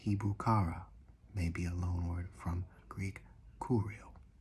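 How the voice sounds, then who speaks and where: Soft-spoken, the speaker delivers words at a very slow pace. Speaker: amateur biblical language commentator. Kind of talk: ASMR-style casual lecture.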